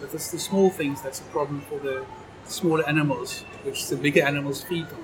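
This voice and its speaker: Fairly quick speech from a man, backed by music. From South Africa, Knysna. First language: Afrikaans. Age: 50s. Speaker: amateur documentary photographer. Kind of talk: casual chat.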